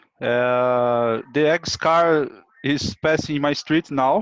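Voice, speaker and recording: A man's voice sits fairly high, with ordinary pitch variation. The sound is dry and close, with no echo. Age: 30s. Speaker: IT professional, English learner. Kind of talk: self-introduction. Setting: video call. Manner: halting, many fillers.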